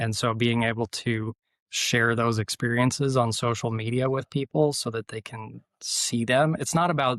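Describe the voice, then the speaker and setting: A man with an American accent speaks at a moderate pace and medium pitch, with fairly even intonation. The recording is very clean with a silent background and a dry, close sound with no echo. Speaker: rally driving instructor and motorsport marketing manager. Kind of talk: podcast interview. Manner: calm.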